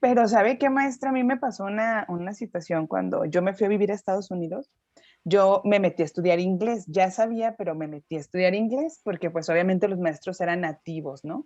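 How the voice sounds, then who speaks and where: In a quiet setting, a woman talks at a medium pitch with lively intonation. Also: fairly quick pace. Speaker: English teacher, student in a class. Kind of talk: class discussion.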